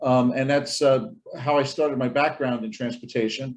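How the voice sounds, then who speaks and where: A man in a New York accent talks at a very fast pace with a medium pitch and monotone, flat intonation. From US, Brooklyn, New York. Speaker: transportation professor and lawyer. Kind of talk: conference presentation.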